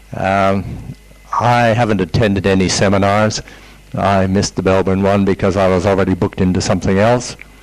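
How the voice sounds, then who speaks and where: A man with a fairly low pitch speaks fairly quickly in a monotone, flat way at very even loudness, with noticeable background noise. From Canada. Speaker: seminar participant. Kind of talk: self-introduction to group.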